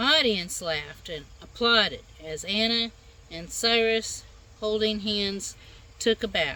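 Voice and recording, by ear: With ordinary pitch variation, the words are read aloud in a natural voice.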